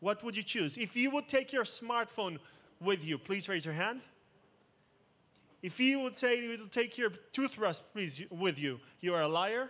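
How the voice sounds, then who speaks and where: Speaking in an Israeli accent at a moderate pace, the voice sounds bright, sharp and animated, with lively intonation broken by long, frequent pauses. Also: man, high pitch for a man. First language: Hebrew. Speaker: cybersecurity expert, conference speaker. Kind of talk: conference talk. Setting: stage with audience.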